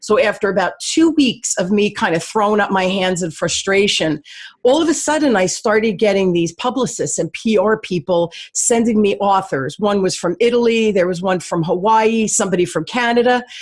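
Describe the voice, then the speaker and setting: A woman speaks with a New Jersey accent at a medium pitch. Her intonation is lively and her pace moderate. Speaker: sales coach and radio show host. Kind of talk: podcast interview.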